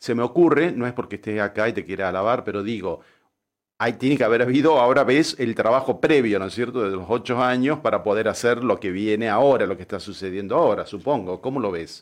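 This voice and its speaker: Very fast speech from a man at medium pitch, with ordinary pitch variation and a quiet background. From Tucumán, Argentina. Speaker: radio host and architect. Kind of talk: casual radio interview. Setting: radio studio.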